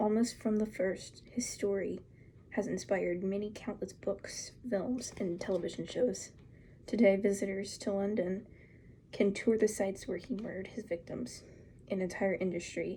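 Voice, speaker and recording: Soft-spoken and somewhat breathy, a woman talks with a dark, mellow tone and fairly even intonation. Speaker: ASMR creator. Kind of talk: ASMR magazine reading.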